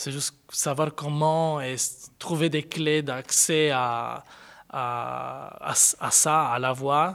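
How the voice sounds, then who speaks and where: A man with an Italian accent speaks at a very slow pace in a fairly high pitch for a man, his intonation fairly even. The recording is very clean, with a silent background. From Sardinia, Italy. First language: Italian (speaking French). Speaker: contemporary dancer. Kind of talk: interview. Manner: halting.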